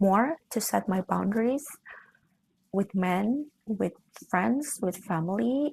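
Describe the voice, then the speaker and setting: Against a quiet background, a woman with a medium pitch and a somewhat breathy voice speaks at a very slow pace. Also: dry, close sound with no echo. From Indonesia. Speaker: lifestyle vlogger. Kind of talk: casual chat.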